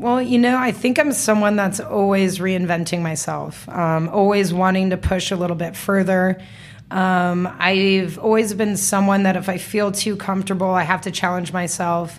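In a room with audible echo, a woman with an American accent talks at a moderate pace with hardly any pauses. Her pitch is medium and her intonation fairly even. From US West, Las Vegas. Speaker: entrepreneur. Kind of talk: casual interview. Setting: studio.

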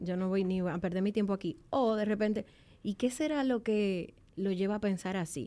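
A woman speaks in a plain, everyday voice at a fairly high pitch and a moderate pace. The recording is very clean, with a silent background. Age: 30s. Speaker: self-knowledge coach. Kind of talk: casual chat.

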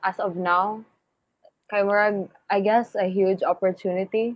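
This woman talks at a very slow pace in a Visayan Filipino accent. Her pitch sits in the medium range. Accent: Filipino (Cebuano) English. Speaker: singer. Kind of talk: casual chat.

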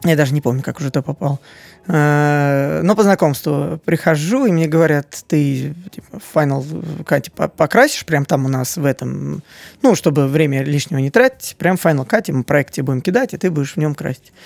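A man's plain, everyday voice, fairly high in pitch with ordinary pitch variation, at a moderate pace in a dry, close sound with no echo. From Moscow, Russia. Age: 30s. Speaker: video editor. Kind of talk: interview.

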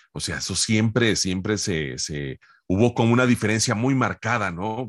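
Against a quiet background, a man at medium pitch speaks with vocal fry and very wide pitch swings, the sound dry and close with no echo. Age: 50s. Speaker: voice actor. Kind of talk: interview.

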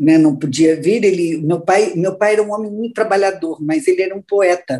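Her tone is dark and mellow. The woman's pitch sits at a medium level. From Santa Catarina, Brazil (Luiz Alves, near Blumenau). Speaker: businesswoman and board member. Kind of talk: interview.

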